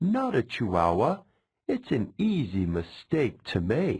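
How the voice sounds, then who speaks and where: In a very clean recording with a silent background, a man does a put-on character voice at medium pitch and a fairly slow pace. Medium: read story. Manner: mockingly sweet, menacing.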